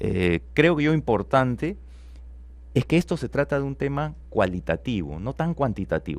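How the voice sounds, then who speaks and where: A man at a medium pitch makes very wide pitch swings in a very clean recording with a silent background. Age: 40s. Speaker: economist, business school dean. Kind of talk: radio interview. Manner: explanatory, rhetorical questions.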